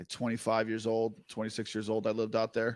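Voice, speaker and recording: A man talks with a strong New Jersey accent. The recording is very clean, with a silent background. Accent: heavy New Jersey. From New Jersey, US. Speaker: music producer. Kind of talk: casual interview chat. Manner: halting, filler-heavy.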